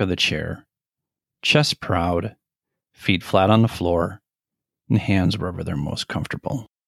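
Very deep and low, a man's gentle voice moves with lively intonation at a moderate pace, the sound dry and close with no echo on a very clean recording with a silent background. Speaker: meditation guide. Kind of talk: guided meditation. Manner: gentle, even, measured delivery.

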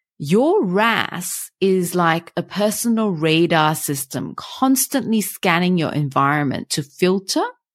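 Lively intonation marks a woman's ordinary speaking voice at a fairly slow pace. The recording is very clean, with a silent background. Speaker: meditation guide and hypnotherapist. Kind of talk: guided meditation. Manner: slow, soft, soothing, calm and unhurried with gentle pauses; gentle and hypnotic.

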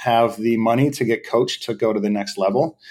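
A man with an American accent speaks at a moderate pace in an unremarkable speaking voice, medium in pitch. The recording is very clean, with a silent background. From US Northeast, southern New Hampshire. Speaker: professional drift driver. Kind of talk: podcast interview.

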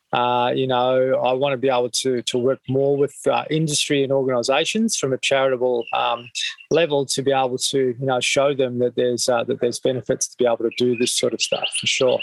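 A man with an Australian accent talks at a fairly quick pace with hardly any pauses. His medium-pitched voice stays monotone and flat. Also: dry, close sound with no echo. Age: 50s. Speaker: mental health charity founder. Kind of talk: interview. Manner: halting, many fillers.

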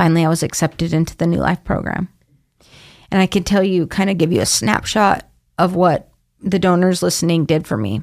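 With an American accent, a woman talks at a fairly quick pace in a fairly low voice with vocal fry, ordinary pitch variation and very even loudness, captured on a very clean recording against a silent background. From Idaho, Boise. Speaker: addiction recovery program intake coordinator. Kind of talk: interview. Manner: animated.

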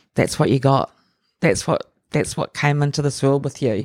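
Fairly even intonation in a dry, close sound with no echo, on a very clean recording with a silent background. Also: woman. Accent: New Zealand. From New Zealand, Auckland. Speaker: artist and curator. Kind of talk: interview conversation.

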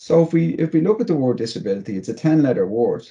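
A man with a dark, mellow tone swings his pitch very widely. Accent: Dublin. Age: 40s. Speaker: motivational speaker and comedian. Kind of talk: interview.

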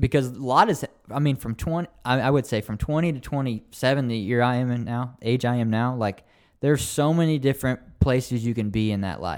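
In a very clean recording with a silent background, a man speaks in an ordinary speaking voice. His pitch is medium with ordinary variation, and his pace is fairly quick. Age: 20s. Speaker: young adult pastor. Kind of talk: casual chat.

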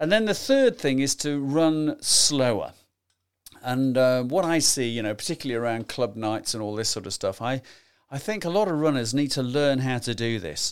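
The recording is very clean, with a silent background. A man speaks at medium pitch and a moderate pace with lively intonation. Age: 60s. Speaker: podcast host, amateur runner. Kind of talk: solo podcast monologue. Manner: casual, hesitant with many fillers.

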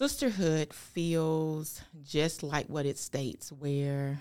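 Over a very clean recording with a silent background, a woman with a Southern US accent speaks in a very deep, low voice with fairly even intonation. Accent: Southern US (Georgia). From US South, rural Georgia. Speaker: pastor. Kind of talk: casual interview.

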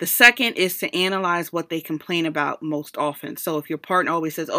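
Against a very clean, silent background, a woman speaks at a fairly quick pace. Her pitch is fairly low and her intonation fairly even. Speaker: podcast host. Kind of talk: solo monologue podcast. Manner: casual, chatty.

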